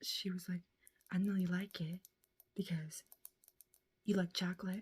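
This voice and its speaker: A soft-spoken voice at a fairly slow pace. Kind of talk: ASMR rambling, casual talk to camera. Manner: rambling.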